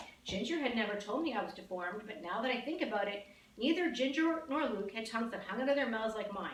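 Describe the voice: In this plain reading aloud, the intonation moves in a lively way.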